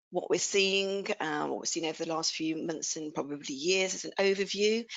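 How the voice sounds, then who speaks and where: A woman speaks with an English Midlands accent. Her pitch is fairly low. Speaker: R&D tax accountant. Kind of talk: webinar presentation.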